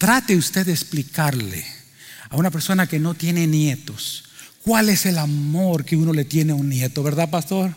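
A man's normal speaking voice, fairly high-pitched with ordinary pitch variation, very even loudness and a moderate pace. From Cuba. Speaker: pastor. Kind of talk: sermon. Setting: church.

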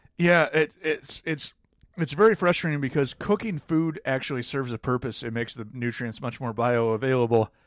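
In a normal speaking voice, a man talks at a moderate pace with medium pitch and lively intonation, captured in a very clean recording with a silent background. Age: 30s. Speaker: podcast co-host. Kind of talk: casual chat; scripted narration.

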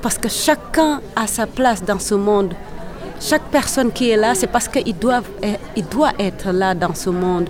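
Music plays in the background as a woman speaks at a fairly slow pace. Her pitch is fairly high, with lively intonation. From Senegal. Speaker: kora player and singer. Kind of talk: interview. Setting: event venue. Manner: halting.

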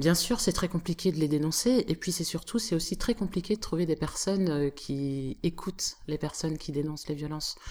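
A woman speaks in an ordinary speaking voice with a fairly low pitch, ordinary pitch variation, a moderate pace and hardly any pauses. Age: 30s. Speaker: slam poet and activist. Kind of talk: interview.

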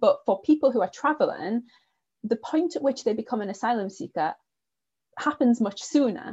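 A woman speaks at a moderate pace in a high pitch with lively intonation and a dark, mellow tone, leaving long, frequent pauses, all in a dry, close sound with no echo. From northern England. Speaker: politics lecturer. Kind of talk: academic discussion.

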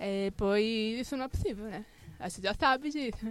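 A woman with a fairly high pitch speaks at a fairly slow pace, with ordinary pitch variation. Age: 20s. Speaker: design graduate, pedagogy student. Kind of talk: casual chat. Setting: studio.

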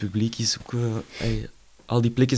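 A man's medium-pitched voice with a Flemish accent at a moderate pace, in a very clean recording with a silent background. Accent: Flemish Dutch. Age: 30s. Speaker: jazz drummer. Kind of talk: casual interview.

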